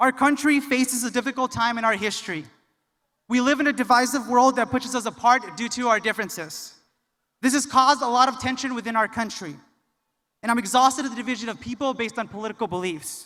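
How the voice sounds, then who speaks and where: A man speaks very fast in a raised, projected voice at an extremely high pitch. His tone is bright and sharp, with ordinary pitch variation. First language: Spanish. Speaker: graduate student speaker. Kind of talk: commencement speech. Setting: arena with audience.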